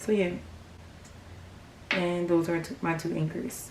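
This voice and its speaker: A woman with fairly even intonation amid audible room echo and noticeable background noise. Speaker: craft tutorial youtuber. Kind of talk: tutorial. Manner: quiet, hushed; casual, filler-heavy.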